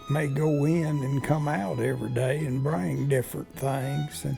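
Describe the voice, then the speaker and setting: Music plays in the background. A man speaks at a fairly slow pace over it. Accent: West Texas. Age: 80s+. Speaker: ranch cowboy. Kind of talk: interview answer. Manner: slow, folksy.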